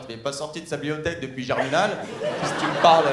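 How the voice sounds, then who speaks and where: The background carries noticeable noise. Through it, a man talks. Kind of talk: stand-up comedy. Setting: stage with audience. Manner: irreverent, mock-casual delivery with audience interaction.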